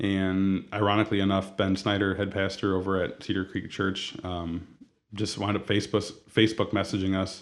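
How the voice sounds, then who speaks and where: At a moderate pace, the speaker talks with an American accent in monotone, flat intonation. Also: man, fairly low pitch for a man. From Toledo, Ohio, US Midwest. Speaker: donut shop owner. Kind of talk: interview.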